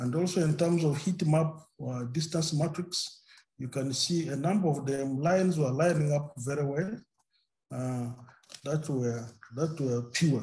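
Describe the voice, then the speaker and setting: A man's fairly high, somewhat breathy voice with a dark, mellow tone, a fairly slow pace and long, frequent pauses. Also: ordinary pitch variation. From Uganda. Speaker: maize breeder; presenter. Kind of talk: webinar presentation. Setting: video call. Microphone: video call.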